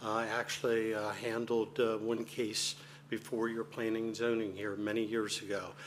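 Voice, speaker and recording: Monotone, flat intonation from a man at medium pitch and a moderate pace, with audible room echo. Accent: American. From US, Delaware, Sussex County. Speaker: attorney. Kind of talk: formal remarks at council meeting. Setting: council chamber, microphone.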